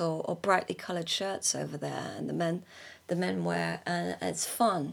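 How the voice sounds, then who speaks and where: A woman with a British accent at a moderate pace. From Britain. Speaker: artist. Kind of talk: monologue. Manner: halting, many fillers and restarts.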